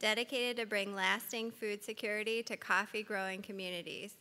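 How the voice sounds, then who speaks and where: A woman speaks with a fairly high pitch, a bright, sharp tone and fairly even intonation. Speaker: panel moderator. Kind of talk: panel moderation. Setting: stage with audience. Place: hall. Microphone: podium.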